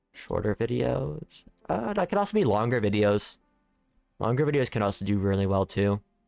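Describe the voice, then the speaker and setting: With music in the background, a man speaks in a relaxed tone at a fairly low pitch, his pitch swinging very widely while his loudness stays very even, in a dry, close sound with no echo. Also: moderate pace. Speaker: gaming youtuber. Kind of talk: gameplay commentary. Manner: relaxed, casual; jumbles words, somewhat awkward.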